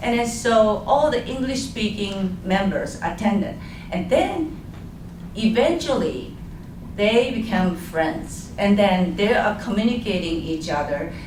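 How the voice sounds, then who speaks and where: In a Japanese accent, a woman speaks at a fairly slow pace with lively intonation, amid audible room echo and noticeable background noise. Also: medium pitch for a woman. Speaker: community village co-founder and board chair. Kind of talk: panel discussion. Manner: halting.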